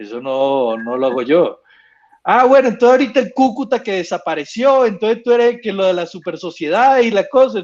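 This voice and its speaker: Speaking in a Venezuelan accent, a man talks at a fairly quick pace with a high pitch and very wide pitch swings over a quiet background. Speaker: sports lawyer. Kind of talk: casual panel talk.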